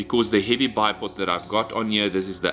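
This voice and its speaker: A man speaks with a fairly low voice. Music plays in the background. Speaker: airgun reviewer. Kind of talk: product review. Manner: animated.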